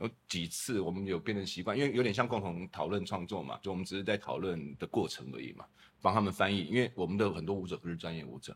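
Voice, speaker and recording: A man's very deep, low voice with vocal fry, very fast pace and lively intonation. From Taiwan (Kaohsiung). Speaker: lighting designer. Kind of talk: casual chat.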